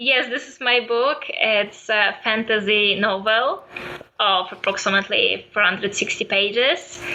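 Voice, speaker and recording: A woman with a Polish accent, fairly high-pitched, at a fairly slow pace with ordinary pitch variation, over noticeable background noise. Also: big swings in loudness. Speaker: photographer and writer. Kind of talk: interview.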